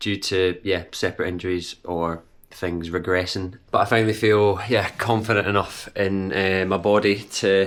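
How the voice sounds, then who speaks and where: On a very clean recording with a silent background, a man with a fairly low pitch talks at a moderate pace in a monotone, flat intonation, with hardly any pauses. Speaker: amateur runner vlogger. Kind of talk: casual vlog. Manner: hesitant with fillers.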